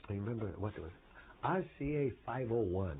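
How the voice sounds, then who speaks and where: In a Croatian accent, a man with a fairly low pitch makes very wide pitch swings. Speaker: professor. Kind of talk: oral history interview. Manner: hesitant, many fillers.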